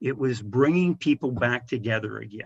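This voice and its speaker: A man talks at a moderate pace with an American accent and a medium pitch. It is an ordinary speaking voice. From rural Missouri, US Midwest. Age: 60s. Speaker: video game industry executive. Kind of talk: podcast interview.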